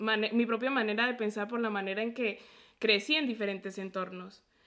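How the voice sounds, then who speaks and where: With fairly even intonation, a woman speaks at a fairly high pitch in an unremarkable speaking voice. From Mexico (near Puebla) and Colombia. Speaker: podcast host and medical student. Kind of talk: interview conversation.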